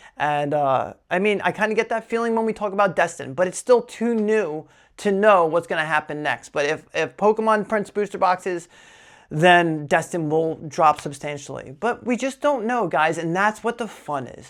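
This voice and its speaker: A slight New Jersey accent at a moderate pace, on a very clean recording with a silent background. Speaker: Pokémon card collector YouTuber. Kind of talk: casual vlog talk to camera. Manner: casual, filler-heavy.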